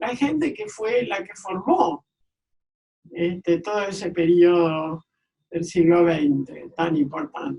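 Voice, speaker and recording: The woman's fairly low voice moves along at a very slow pace. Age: 80s+. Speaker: architect and archivist. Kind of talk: interview answer.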